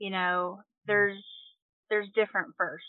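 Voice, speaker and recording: A woman with a Kentucky accent speaks in monotone, flat intonation. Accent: Southern US (Kentucky). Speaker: nurse. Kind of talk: casual interview.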